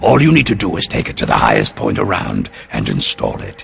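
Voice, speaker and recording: Faint music plays in the background as a man performs a put-on character voice. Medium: machinima. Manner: profane, sardonic.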